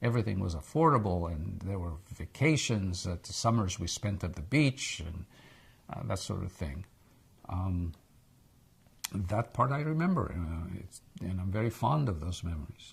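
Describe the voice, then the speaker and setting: A man with an American accent speaks at a very deep, low pitch, a little breathy. His intonation is lively and his pace moderate. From Egypt, then Israel. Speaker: interviewee, immigrant. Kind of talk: oral history interview. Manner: hesitant, with repetitions.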